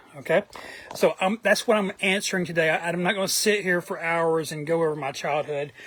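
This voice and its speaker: A high-pitched man talks in a Southern US accent with ordinary pitch variation. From US South, Atlanta, Georgia. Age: 40s. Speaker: trading card collector vlogger. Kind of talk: casual monologue vlog. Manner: hesitant, many fillers.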